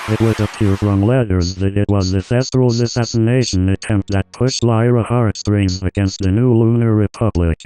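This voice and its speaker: Recorded with a dry, close sound and no echo, a man speaks at a very even loudness. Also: fairly low pitch for a man, moderate pace, fairly even intonation. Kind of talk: historical documentary narration. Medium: read story. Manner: measured, solemn.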